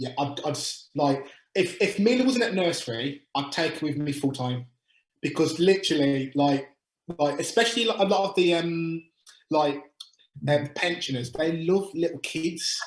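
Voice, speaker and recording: A fairly high-pitched man's voice with a Birmingham accent and ordinary pitch variation. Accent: Birmingham (Brummie). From England, Birmingham. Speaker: utility sales agent. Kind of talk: webinar Q&A. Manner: fast.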